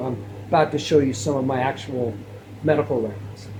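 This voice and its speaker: Moderately paced speech from a man, amid audible room echo and noticeable background noise. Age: 60s. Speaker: health video creator. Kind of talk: casual monologue to camera. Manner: repetitive, halting.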